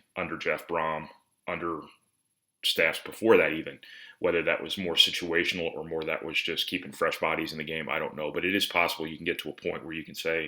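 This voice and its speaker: Very deep and low in pitch, a man speaks fairly quickly with a bright, sharp tone and monotone, flat intonation in a very clean recording with a silent background. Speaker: sports reporter and show host. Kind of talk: solo video commentary. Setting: at home.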